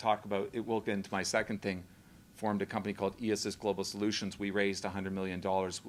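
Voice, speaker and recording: A man with a Canadian accent speaks in a fairly low pitch. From Canada. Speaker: company founder and CEO. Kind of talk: speech at a public event. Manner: halting, with fillers.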